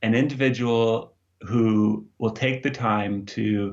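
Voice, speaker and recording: This man has an American accent and a medium pitch. His intonation stays fairly even. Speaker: youth ministry director. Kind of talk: interview. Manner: hesitant, with fillers.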